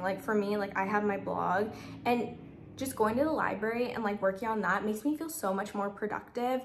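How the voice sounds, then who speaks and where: A fairly high-pitched woman talks at a fairly quick pace with ordinary pitch variation while noticeable background noise runs underneath. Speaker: lifestyle vlogger. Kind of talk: casual talk to camera. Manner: fast; chatty, filler-heavy.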